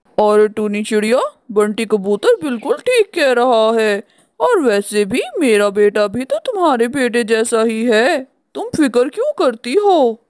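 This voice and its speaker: In a cartoonish character voice that sounds female, the speaker talks at a moderate pace with a fairly high pitch for a woman. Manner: sly, ingratiating.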